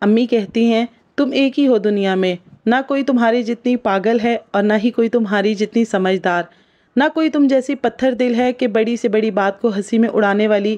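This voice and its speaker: A woman with an unremarkable speaking voice, fairly high in pitch, shows ordinary pitch variation and very even loudness. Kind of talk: reflective spoken monologue.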